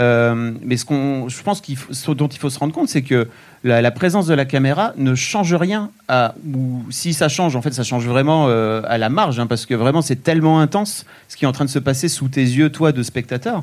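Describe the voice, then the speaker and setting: A man talks in a normal speaking voice at a medium pitch and moderate pace with ordinary pitch variation. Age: 40s. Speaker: podcast co-host. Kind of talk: casual chat. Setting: stage with audience.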